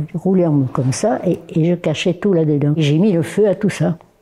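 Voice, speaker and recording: A woman at a fairly low pitch and moderate pace, with noticeable background noise. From southern France, Perpignan. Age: 90s. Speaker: war veteran, former Resistance member. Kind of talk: testimony. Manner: halting.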